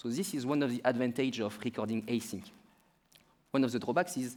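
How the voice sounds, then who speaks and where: Talking at a very fast pace with a French accent, a man keeps a medium pitch and ordinary pitch variation. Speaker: startup founder.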